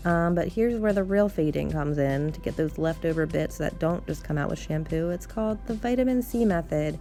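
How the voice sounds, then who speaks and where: With music in the background, a woman with a fairly low voice speaks with lively intonation and hardly any pauses. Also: fairly quick pace. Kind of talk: casual hair tutorial talk to camera. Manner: hesitant, many filler ums.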